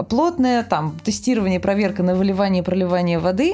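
Lively intonation from a woman of medium pitch, fairly quick in pace, amid noticeable background noise. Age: 30s. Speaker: film production designer. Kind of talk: casual chat. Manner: animated.

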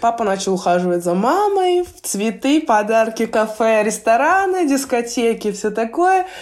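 Her pitch is fairly high, and this woman's voice makes very wide pitch swings at a fairly slow pace with hardly any pauses. Noticeable background noise sits behind her. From Russia, Belgorod region. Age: 20s. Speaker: professional basketball player. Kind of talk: interview, casual chat.

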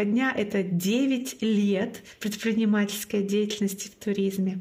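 In a Komi accent, a woman with a fairly high pitch speaks at a fairly slow pace, somewhat breathy, with monotone, flat intonation. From Komi Republic, northern Russia (Syktyvkar). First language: Komi (speaking Russian). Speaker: podcast host and marathon organizer. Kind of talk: casual interview chat.

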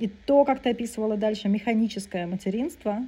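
Somewhat breathy, a woman speaks at a fairly quick pace in a fairly high pitch with a dark, mellow tone and ordinary pitch variation. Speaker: psychotherapist and podcast co-host. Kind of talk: casual chat. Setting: video call.

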